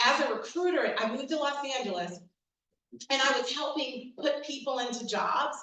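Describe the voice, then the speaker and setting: A woman with an American accent raises and projects her high-pitched voice, animated in tone and lively in intonation, at a moderate pace, with audible room echo. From New York City, the Bronx. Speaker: diversity and inclusion consultant. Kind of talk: keynote talk.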